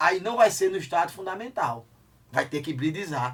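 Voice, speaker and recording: A man speaks with an Alagoas accent at a high pitch. His tone is animated and his intonation lively. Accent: Northeastern Brazilian (Alagoas), unchanged. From Brazil, Alagoas. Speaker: chemistry teacher. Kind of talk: lecture.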